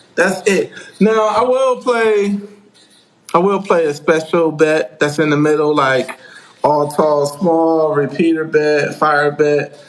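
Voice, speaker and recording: A man's lively intonation and fairly high pitch come through noticeable background noise. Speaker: craps teacher, YouTuber. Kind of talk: live stream chat answering viewer questions. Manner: loud; casual, repetitive.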